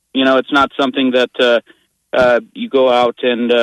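A man talks at a moderate pace at medium pitch. He has a normal speaking voice. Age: 20s. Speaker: radio caller. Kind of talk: call-in opinion. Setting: phone call.

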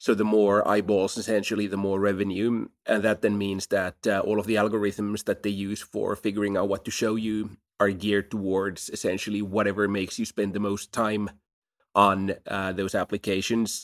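With a Finnish accent, a man talks at a moderate pace in a fairly low voice and a flat monotone, the sound dry and close with no echo and the recording very clean over a silent background. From Finland, Helsinki. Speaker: startup CEO. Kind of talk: interview.

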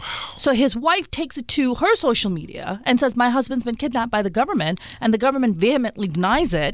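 Over noticeable background noise, a woman talks at a very fast pace in a high pitch, with very wide pitch swings. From Pakistan, Karachi. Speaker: stand-up comedian. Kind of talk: casual chat. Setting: studio.

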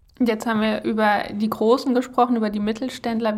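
At a moderate pace, a woman uses a normal speaking voice at medium pitch. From Germany, Kassel (Hesse). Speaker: podcast host. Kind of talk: interview. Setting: office.

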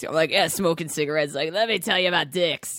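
A woman's raspy put-on character voice, fairly low in pitch, at a very fast pace.

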